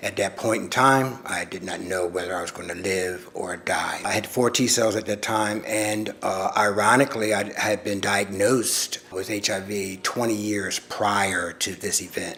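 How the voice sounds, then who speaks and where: Through noticeable background noise comes a man's fairly low voice with fairly even intonation. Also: moderate pace, hardly any pauses. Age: 60s. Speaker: community elder living with HIV. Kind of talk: personal testimony.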